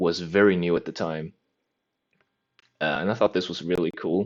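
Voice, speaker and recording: With a non-native accent, a man speaks at a very deep, low pitch. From mainland Europe. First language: a European language, not English. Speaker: language learning vlogger. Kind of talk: casual monologue. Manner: rambling, many fillers.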